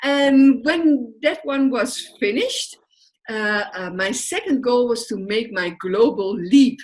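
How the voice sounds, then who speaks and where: Speaking fairly slowly with a Dutch accent, a woman uses a high pitch and very wide pitch swings. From Netherlands. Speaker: social work entrepreneur. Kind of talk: interview. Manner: hesitant, many fillers.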